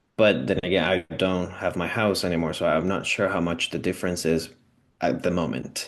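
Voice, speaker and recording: Over a quiet background, a man with a Spanish accent talks in a very deep, low voice. His pitch varies an ordinary amount. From Venezuela. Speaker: immigrant renter sharing housing story. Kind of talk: personal testimony interview. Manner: halting, many fillers and restarts.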